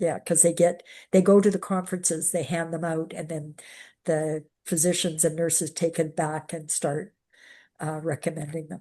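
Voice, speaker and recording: A woman's fairly low, dark, mellow voice in a monotone, flat intonation against a quiet background. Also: moderate pace. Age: 70s. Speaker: diabetes nurse educator. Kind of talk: Q&A session.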